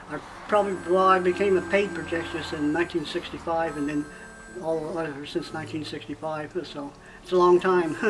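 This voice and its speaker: A man's high-pitched voice with an American accent, fairly quick and monotone, flat in intonation, over noticeable background noise. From US Midwest, Indiana. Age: 60s. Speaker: retired projectionist. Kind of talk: documentary interview.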